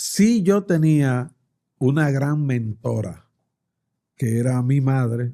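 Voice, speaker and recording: A man's medium-pitched, dark and mellow voice, very slow with lively intonation and long, frequent pauses. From Dominican Republic. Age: 60s. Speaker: politician. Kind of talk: interview.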